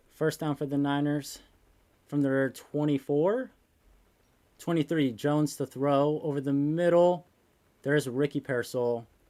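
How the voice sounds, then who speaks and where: On a very clean recording with a silent background, a soft-spoken man with a fairly high pitch and a dark, mellow tone talks at a fairly slow pace with long, frequent pauses. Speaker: sports youtuber hosting a watch party. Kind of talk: live watch-party commentary and chat. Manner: soft-spoken, quiet; low-key, subdued excitement.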